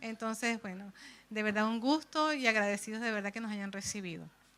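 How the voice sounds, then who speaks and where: Bright and sharp in tone, a woman's fairly high voice carries a Venezuelan accent. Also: very clean recording, silent background. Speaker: bible society speaker. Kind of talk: church presentation.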